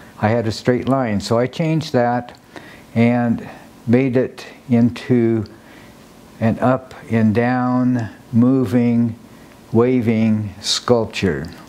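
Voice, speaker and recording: Noticeable background noise sits behind a man with an American accent, a medium pitch and very even loudness. He speaks at a very slow pace with fairly even intonation and long, frequent pauses. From Nebraska. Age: 80s+. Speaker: sculptor and dancer. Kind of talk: documentary interview. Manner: halting.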